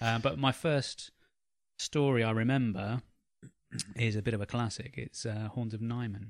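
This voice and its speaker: With an English accent, a man speaks at a medium pitch and moderate pace. His intonation is fairly even, broken by long, frequent pauses. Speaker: podcast co-host. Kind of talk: casual chat.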